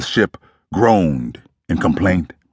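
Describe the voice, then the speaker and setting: In a very deep, low pitch with vocal fry, a man speaks in a solemn tone, the sound dry and close with no echo. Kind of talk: dramatic audiobook narration. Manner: grave, measured, solemn; vividly emotive, slow-building tension.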